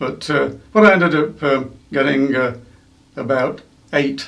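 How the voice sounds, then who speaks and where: Speaking with an East Midlands accent, a man has a medium pitch and vocal fry, with audible room echo. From England, East Midlands (Derbyshire/Nottinghamshire). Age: 70s. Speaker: museum curator and former observer corps volunteer. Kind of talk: interview. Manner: hesitant, many fillers.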